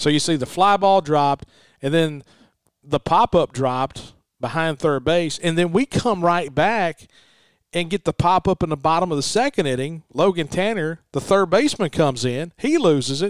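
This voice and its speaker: A man with a Southern US accent speaks at a high pitch and moderate pace, with ordinary pitch variation. The recording is very clean, dry and close, with a silent background and no echo. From Mississippi. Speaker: radio broadcaster.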